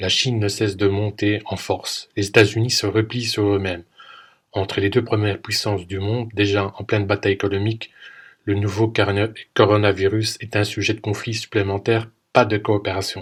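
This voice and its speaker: A somewhat breathy man's voice, fairly low in pitch. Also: moderate pace. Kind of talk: podcast commentary narration.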